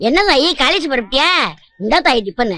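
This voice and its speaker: Using a put-on character voice, a woman with a high pitch speaks at a moderate pace with very wide pitch swings. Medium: short film.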